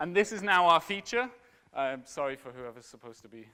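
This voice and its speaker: In a quiet background, a man with a fairly high pitch talks in a bright, sharp tone with lively intonation. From Scotland. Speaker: software community engineer; conference speaker. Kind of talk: conference talk.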